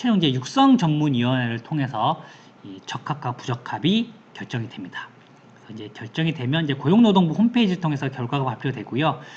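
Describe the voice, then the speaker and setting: A somewhat breathy man talks at a fairly quick pace and fairly high pitch, with very wide pitch swings and big swings in loudness. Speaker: certification consultant presenting info session. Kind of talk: online information session presentation. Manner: fast.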